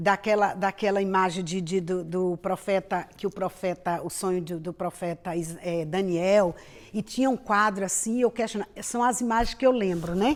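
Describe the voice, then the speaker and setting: A woman with a normal speaking voice, medium pitch and ordinary pitch variation, at a moderate pace. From Brazil, Bahia. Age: 50s. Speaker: pastor and missionary. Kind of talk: interview testimony.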